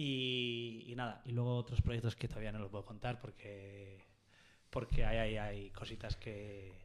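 At a fairly slow pace, a man talks with monotone, flat intonation. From Basque Country, Oyarzun; Basque Country. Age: 20s. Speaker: surf photographer; podcast guest. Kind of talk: casual interview chat. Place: studio. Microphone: studio mic.

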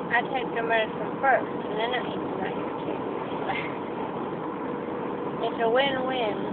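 Over loud background noise, a woman speaks at a fairly slow pace, with a dry sound and no echo. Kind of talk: drowsy casual chat. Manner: groggy, sedated, slurred post-surgery speech. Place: car. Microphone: phone near.

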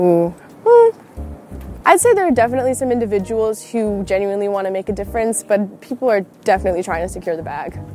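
A woman talks at a very fast clip in a dry, echo-free recording, with faint music behind her. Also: ordinary pitch variation. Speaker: interviewee. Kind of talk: interview answer. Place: street. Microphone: phone near.

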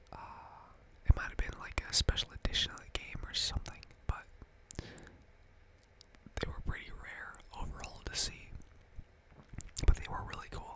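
The speaker is whispering. Long, frequent pauses break up the speech. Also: moderate pace. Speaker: gamer. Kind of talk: ASMR gaming commentary. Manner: whispered. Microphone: studio mic.

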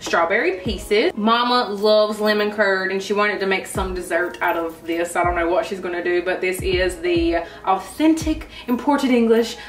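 Light background noise and audible room echo accompany a woman speaking. She keeps a moderate pace with hardly any pauses. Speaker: vlogger. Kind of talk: casual vlog chat. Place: kitchen. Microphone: camera far.

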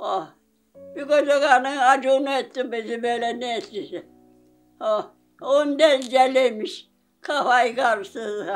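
With faint music in the background, a woman speaks at a high pitch and a very slow pace, leaving long, frequent pauses. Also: ordinary pitch variation. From Manisa, Turkey. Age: 80s+. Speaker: villager, survivor of domestic violence. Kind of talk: interview answer. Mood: emotional, aggrieved storytelling.

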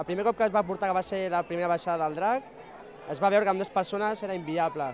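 Crowd noise fills the background as a man speaks at a high pitch with ordinary pitch variation, the sound dry with no echo. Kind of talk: interview answer. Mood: cheerful, smiling. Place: street. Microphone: handheld.

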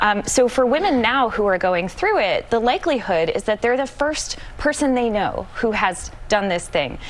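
A woman speaks at a moderate pace with hardly any pauses and very even loudness. Her fairly high voice moves in very wide pitch swings. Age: 30s. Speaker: magazine editor; guest. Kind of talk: TV panel interview. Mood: upbeat, warm. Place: studio.

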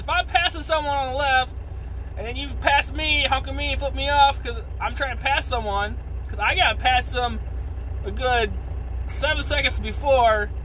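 Over light background noise, a man with an American accent speaks at a moderate pace. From United States. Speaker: truck driver vlogger. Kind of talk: angry rant to camera, cursing and grumbling about bad drivers. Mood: frustrated, venting. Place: car. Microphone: phone near.

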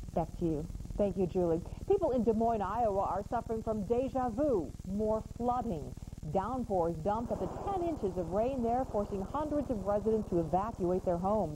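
The intonation is lively and the pace moderate. Noticeable background noise runs underneath. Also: woman, fairly high pitch for a woman. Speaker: news anchor. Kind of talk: TV newsreading. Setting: studio. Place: studio.

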